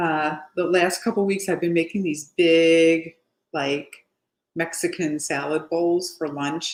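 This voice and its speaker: A fairly slow-paced woman with a fairly low pitch and ordinary pitch variation. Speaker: home cooking youtuber. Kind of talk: cooking tutorial. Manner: casual, chatty. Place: kitchen. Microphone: webcam.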